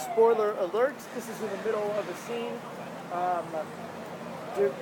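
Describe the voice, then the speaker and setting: A high-pitched man at a moderate pace with ordinary pitch variation, over noticeable background noise. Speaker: author and actor. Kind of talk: casual talk to camera.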